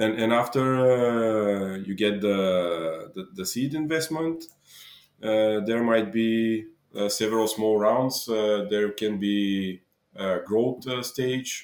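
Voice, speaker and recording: In a Bulgarian accent, a man speaks very slowly in a fairly low pitch with ordinary pitch variation. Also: very clean recording, silent background. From Bulgaria, Dobrich. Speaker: entrepreneur. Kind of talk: interview. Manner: halting.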